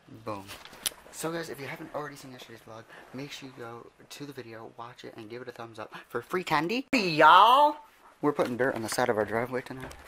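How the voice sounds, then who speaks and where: Talking at a very fast pace over noticeable background noise, a man with medium pitch shows ordinary pitch variation and big swings in loudness. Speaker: vlogger. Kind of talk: casual vlog.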